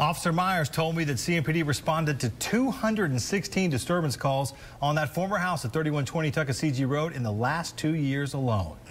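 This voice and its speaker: A man with a fairly high pitch speaks with hardly any pauses. His somewhat breathy voice holds a very even loudness. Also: ordinary pitch variation. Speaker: television news reporter. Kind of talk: TV news report, live reporting. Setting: recorded field news package with narration.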